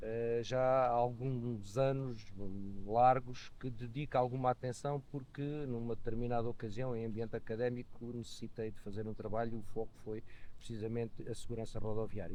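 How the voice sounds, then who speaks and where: The man's pitch is medium and his tone dark and mellow. He speaks at a moderate pace with fairly even intonation. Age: 60s. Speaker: motorcyclist and economist. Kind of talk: podcast interview. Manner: hesitant, many fillers.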